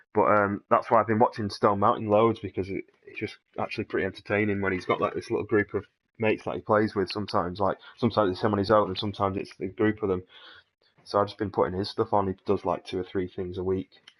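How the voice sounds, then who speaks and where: A very fast, monotone delivery from a man with a fairly low pitch and flat intonation. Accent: British. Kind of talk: casual gaming chat.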